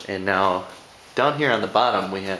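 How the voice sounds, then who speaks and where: Light background noise and audible room echo surround a man with a fairly low pitch. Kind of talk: casual vlog chat. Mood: relaxed, good-humored. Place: garage. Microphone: phone near.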